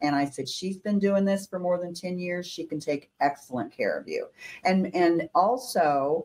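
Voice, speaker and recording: A woman uses an ordinary speaking voice with a fairly low pitch. She keeps a moderate pace and ordinary pitch variation. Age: 60s. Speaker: insurance agent. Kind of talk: interview.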